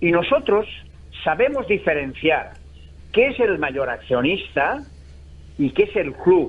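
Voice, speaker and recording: Pitched high, a man's voice swings very widely in pitch. He talks at a very slow pace with long, frequent pauses. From Valencia, Spain. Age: 70s. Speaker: football supporters' association president. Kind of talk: radio interview. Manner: animated.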